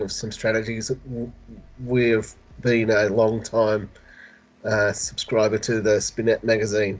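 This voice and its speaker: The man's delivery is monotone, with flat intonation. He speaks at a fairly slow pace. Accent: Australian. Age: 50s. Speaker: community services worker with spina bifida. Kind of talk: interview. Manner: halting.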